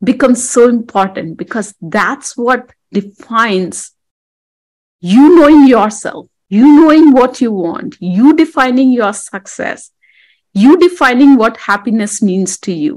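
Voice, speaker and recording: A woman's high voice rises and falls in a lively way as she talks at a fairly slow pace. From India. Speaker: women's empowerment coach. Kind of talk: interview.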